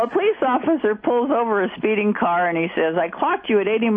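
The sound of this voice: This is an unforced reading voice with lively intonation.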